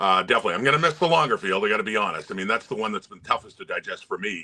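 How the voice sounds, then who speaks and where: A man talks at a very fast pace. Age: 60s. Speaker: sports play-by-play announcer. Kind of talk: casual interview.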